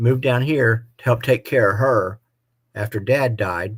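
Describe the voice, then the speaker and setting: In a very clean recording with a silent background, a man speaks at a medium pitch in a somewhat breathy voice. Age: 60s. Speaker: motorcycle vlogger. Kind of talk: live stream chat.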